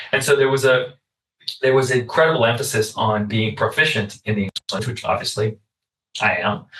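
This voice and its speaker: A man with a Puerto Rican accent at a medium pitch, a fairly quick pace, and fairly even intonation. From Puerto Rico. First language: Spanish. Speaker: podcast host. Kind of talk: casual chat. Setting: podcast recording.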